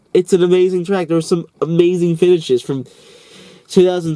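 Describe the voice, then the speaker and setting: A man with an American accent speaks at a high pitch in a dark, mellow tone. His intonation is monotone and flat. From US South, East Tennessee. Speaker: sports commentator / YouTuber. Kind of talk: unscripted casual monologue. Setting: in a parked car (Jeep). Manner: halting, many fillers.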